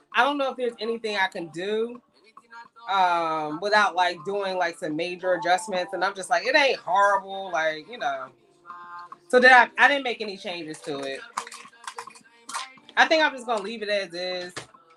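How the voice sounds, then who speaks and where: With an American accent, a woman at medium pitch talks at a moderate pace with lively intonation, big swings in loudness, long and frequent pauses, and noticeable background noise. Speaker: sewing livestream host. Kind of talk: live sewing tutorial. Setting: livestream. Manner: casual, chatty.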